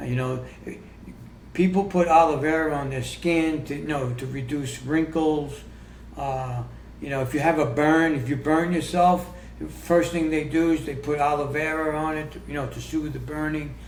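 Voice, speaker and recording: The room echo is audible as a man speaks at a fairly high pitch for a man. His pace is moderate and his intonation fairly even. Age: 60s. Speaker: health coach and author. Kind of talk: podcast interview. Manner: halting.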